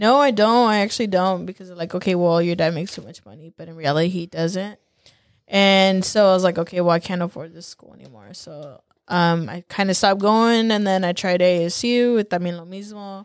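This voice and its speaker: A woman with an American accent and a normal speaking voice, medium in pitch with ordinary pitch variation, at a fairly quick pace, on a very clean recording with a silent background. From California, Salinas Valley. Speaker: small business owner. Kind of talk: casual interview.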